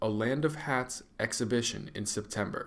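This is a man with a plain, everyday voice. He talks at a medium pitch and varies it in an ordinary way. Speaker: arts editor. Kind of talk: scripted newsreading. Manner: steady, clear, upbeat delivery.

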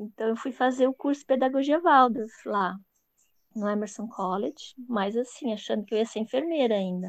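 At a fairly slow pace, a woman speaks at a fairly high pitch with ordinary pitch variation. The sound is dry and close, with no echo. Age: 50s. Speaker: Waldorf early childhood educator. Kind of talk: interview.

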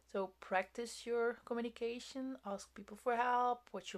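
Speaking at a moderate pace with a non-native accent, a woman shows ordinary pitch variation. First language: not English. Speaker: podcast host. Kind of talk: solo monologue, self-help talk. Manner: casual, hesitant with fillers.

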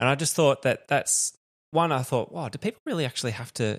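With an Australian accent, a man speaks with ordinary pitch variation against a quiet background, the sound dry and close with no echo. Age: 30s. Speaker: podcast host, father. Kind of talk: casual chat.

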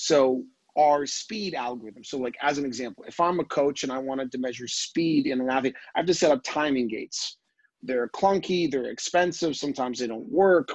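Using a normal speaking voice, a man talks at a fairly quick pace, fairly high in pitch with ordinary pitch variation. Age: 30s. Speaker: tech entrepreneur. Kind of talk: casual interview. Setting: video call.

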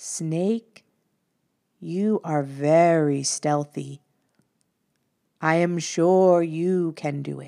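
Putting on a character voice, a woman speaks at a very slow pace in a fairly low pitch, leaving long, frequent pauses. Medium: read story. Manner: calm, kind.

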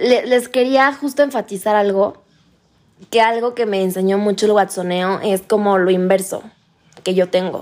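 A woman with a fairly high pitch talks at a fairly slow pace, with long, frequent pauses and ordinary pitch variation. The recording is very clean, with a silent background. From Mexico, Playa del Carmen. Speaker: course participant. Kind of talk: group conversation. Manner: soft-spoken.

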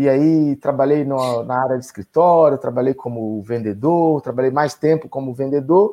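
An unremarkable speaking voice moves at a moderate pace with hardly any pauses and ordinary pitch variation. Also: man, fairly high pitch for a man. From Brazilian Northeast, Bahia (Feira de Santana). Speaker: sales consultant and entrepreneur. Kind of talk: interview.

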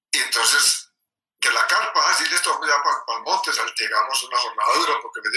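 Over music in the background, a man talks at a fairly quick pace in a raised, projected voice with an extremely high pitch. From Medellín, Colombia (paisa). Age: 60s. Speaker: birdwatcher and engineer. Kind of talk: interview.

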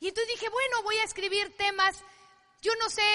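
A woman's raised, projected voice comes at an extremely high pitch with a bright, sharp tone, a fairly quick pace and fairly even intonation. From Mexico, Culiacán, Sinaloa. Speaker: network marketing business speaker. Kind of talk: motivational talk.

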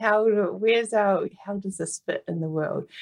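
A woman talks at a moderate pace with a New Zealand accent. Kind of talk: casual interview chat.

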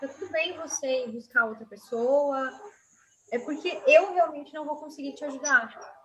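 A woman speaks at a high pitch and moderate pace, with ordinary pitch variation. Her loudness swings widely against noticeable background noise. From Rio Grande do Sul coast, Brazil. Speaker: systemic constellation therapist and university lecturer. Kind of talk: podcast interview.

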